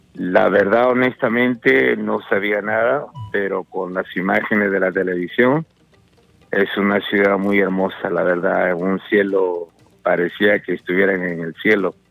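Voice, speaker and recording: A man's fairly low voice, fairly slow, with ordinary pitch variation and music in the background. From Peru, Lima. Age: 60s. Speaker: caller. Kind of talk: phone-in chat.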